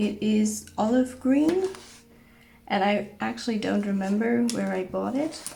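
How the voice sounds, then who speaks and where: A woman at a very slow pace, medium in pitch, with audible room echo and music in the background. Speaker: journaling vlogger. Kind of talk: product show-and-tell.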